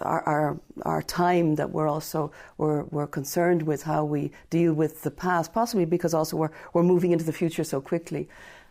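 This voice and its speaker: In an Irish accent, a woman with a very deep, low pitch and a dark, mellow tone speaks at a fairly quick pace with fairly even intonation on a very clean recording with a silent background. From Ireland. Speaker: professor of comparative literature. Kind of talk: radio interview.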